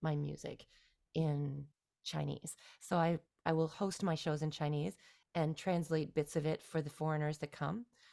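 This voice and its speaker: A woman with a very deep, low pitch and a dark, mellow tone speaks at a moderate pace on a very clean recording with a silent background. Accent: Canadian. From Ontario, Canada (near Toronto). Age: 40s. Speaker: singer-songwriter. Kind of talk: interview.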